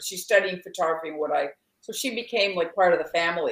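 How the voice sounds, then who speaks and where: In a normal speaking voice, a woman with a Canadian accent talks at medium pitch with ordinary pitch variation. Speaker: filmmaker. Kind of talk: casual chat.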